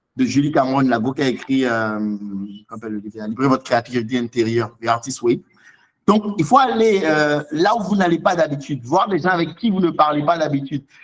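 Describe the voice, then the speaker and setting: Speaking at a fairly quick pace, a man uses a fairly high pitch with very wide pitch swings. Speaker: seminar speaker on writing. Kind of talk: online seminar Q&A. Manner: fast; animated.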